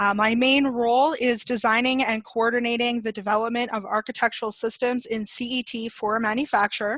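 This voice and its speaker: An ordinary speaking voice from a woman with a Canadian accent, fairly high pitch, fairly even intonation and moderate pace, over a quiet background with a dry sound and no echo. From Canada. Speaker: product trainer and designer; product trainer. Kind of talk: webinar presentation. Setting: video webinar. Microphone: video call.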